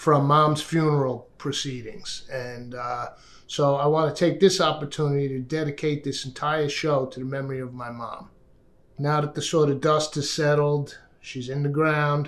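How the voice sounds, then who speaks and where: A plain, everyday voice at a moderate pace, with fairly even intonation and big swings in loudness. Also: man, fairly high pitch for a man. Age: 60s. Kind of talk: casual talk to camera. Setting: home dining room.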